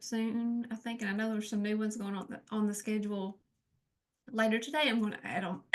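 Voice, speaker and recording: Quiet and very fast, a woman talks at a fairly high pitch with monotone, flat intonation. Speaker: webinar host. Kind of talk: closing remarks of online training session.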